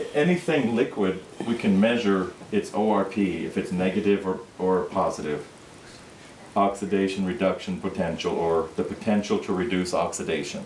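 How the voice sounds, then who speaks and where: Over noticeable background noise, a man with a fairly low pitch speaks at a moderate pace, his loudness very even and his pitch varying in an ordinary way. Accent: Minnesota. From Minnesota. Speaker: product demonstrator. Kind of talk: sales pitch.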